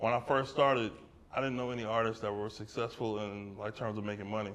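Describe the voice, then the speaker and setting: This is a man speaking. He has an American accent. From Brooklyn, New York. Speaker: artist. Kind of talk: audience Q&A at gallery talk. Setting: art gallery with small live audience.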